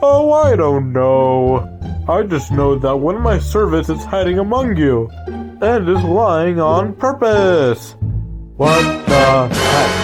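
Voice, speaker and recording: A man performs a cartoonish character voice at a fairly slow pace. Faint music plays in the background. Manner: showy host patter.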